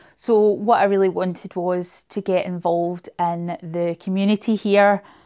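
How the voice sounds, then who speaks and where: With a Scottish accent, a woman speaks at a fairly slow pace and with fairly even intonation. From Scotland, Glasgow area. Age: 30s. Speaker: booktuber. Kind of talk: casual vlog monologue.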